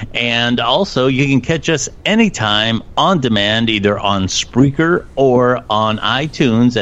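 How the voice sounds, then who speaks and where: A man with lively intonation at a very slow pace, over noticeable background noise. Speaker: podcast co-host. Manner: polished, studio-like delivery.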